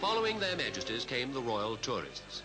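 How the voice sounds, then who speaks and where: A man with a British accent speaks at a fairly quick pace, his pitch swinging very widely. Music plays in the background. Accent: British received pronunciation. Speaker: newsreader. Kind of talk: newsreel narration.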